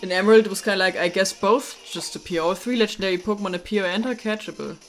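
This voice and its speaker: Very fast pace over noticeable background noise. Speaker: let's play co-host. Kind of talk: casual gaming chat.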